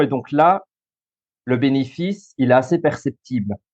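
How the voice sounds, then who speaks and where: A man with a slight Belgian accent, medium pitch, fairly slow pace and a quiet background. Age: 30s. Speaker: social worker and school coach. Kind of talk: interview.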